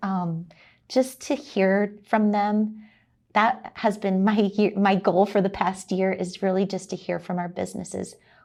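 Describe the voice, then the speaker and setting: A woman with an American accent talks at a medium pitch with fairly even intonation, in a very clean recording against a silent background. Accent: slight Wisconsin drawl over Texan roots. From Texas. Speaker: chamber of commerce executive. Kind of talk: interview.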